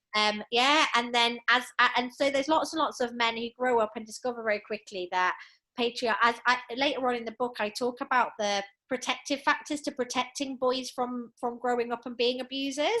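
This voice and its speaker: The voice is loud, with an English accent. It moves at a fairly quick pace with fairly even intonation. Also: woman, high pitch for a woman. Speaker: author and gender justice specialist. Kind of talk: podcast interview.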